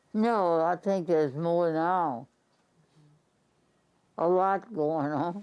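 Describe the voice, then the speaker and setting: A woman in a New Orleans accent, fairly low in pitch with ordinary pitch variation, very slow with long, frequent pauses, her loudness very even, against a quiet background. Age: 80s+. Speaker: retired substitute teacher. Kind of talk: interview answer.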